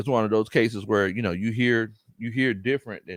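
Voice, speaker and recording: This man has a bright, sharp tone at a medium pitch. He speaks at a fairly quick pace. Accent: strong Southern US. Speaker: sports podcast host, former football coach. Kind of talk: casual livestream chat. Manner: animated, repetitive.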